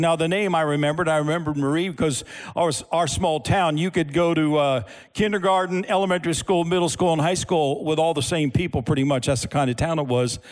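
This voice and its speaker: A plain, everyday voice at a fairly quick pace in a very clean recording with a silent background. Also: man. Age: 60s. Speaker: pastor. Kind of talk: sermon. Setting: church with audience.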